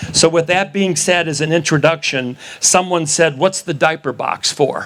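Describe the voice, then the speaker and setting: A man with an American accent talks at a moderate pace in a fairly high pitch. Noticeable background noise runs behind him. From Wisconsin. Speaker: election integrity activist. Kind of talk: rally speech. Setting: outdoor rally with audience. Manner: animated.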